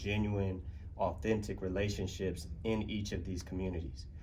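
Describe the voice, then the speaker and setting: A somewhat breathy voice speaks in an American accent at a fairly quick pace. Audible room echo surrounds it. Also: man. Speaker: community arts partner. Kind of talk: conference panel presentation. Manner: fast.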